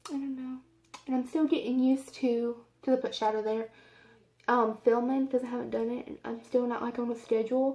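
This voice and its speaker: A woman with an American accent speaks in a high voice with a dark, mellow tone. Her intonation stays fairly even. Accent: southern US, stronger when speaking slowly. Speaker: beauty vlogger. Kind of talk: makeup tutorial. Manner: casual, rambling with fillers.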